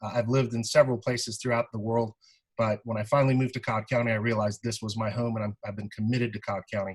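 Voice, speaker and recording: Speaking at a very fast pace, a man keeps a medium pitch and a monotone, flat intonation. His voice is somewhat breathy, with a dry, close sound and no echo. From born in Iran, raised in South Carolina. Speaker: prosecutor and judicial candidate. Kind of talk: candidate forum statement. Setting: video call.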